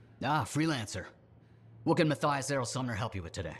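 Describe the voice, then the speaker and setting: A man's put-on character voice, raspy and medium-pitched, with lively intonation and a very fast pace. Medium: video game. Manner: wordy, earnest.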